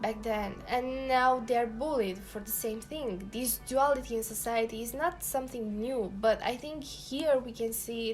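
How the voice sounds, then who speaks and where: Over music in the background, a woman with a non-native accent talks at a fairly slow pace, her fairly high pitch showing ordinary variation. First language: not English. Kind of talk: casual talk to camera.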